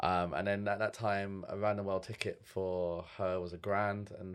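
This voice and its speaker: A man with a London accent speaks at a fairly low pitch with fairly even intonation on a very clean recording with a silent background. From East London (Stratford / Forest Gate). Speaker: start-up founder. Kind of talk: casual chat. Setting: studio.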